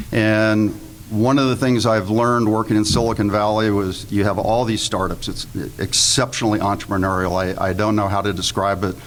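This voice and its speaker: A man speaks at a fairly quick pace. Noticeable background noise can be heard behind him. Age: 60s. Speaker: panelist, investment fund manager. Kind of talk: panel presentation to live audience. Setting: room with live audience. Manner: humorous, conversational.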